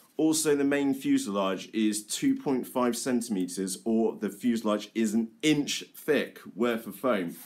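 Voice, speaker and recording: Speaking at a fairly slow pace with hardly any pauses, a man with a British accent uses a medium pitch and ordinary pitch variation. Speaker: RC model aircraft hobbyist. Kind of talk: casual live talk to camera.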